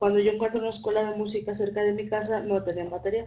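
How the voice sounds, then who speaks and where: The speaker is a woman. Her pitch is medium. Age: 20s. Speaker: accounting student. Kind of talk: interview.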